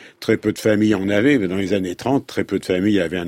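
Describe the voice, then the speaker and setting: The tone is dark and mellow. The recording is very clean with a silent background and a dry, close sound with no echo. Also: man. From Paris. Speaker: photographer and photography historian. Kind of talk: interview.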